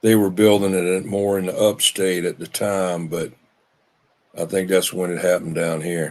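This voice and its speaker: A man speaks in a very deep, low pitch with a Southern US accent. His intonation stays monotone and flat. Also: moderate pace. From South Carolina (Union, Charleston). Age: 70s. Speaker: CB radio user. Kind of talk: casual chat. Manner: halting.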